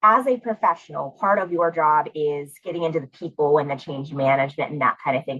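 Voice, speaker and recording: A woman's very deep, low voice with a slight Pittsburgh accent, lively intonation, a fairly quick pace and hardly any pauses. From Pittsburgh, US. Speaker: interviewer. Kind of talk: interview.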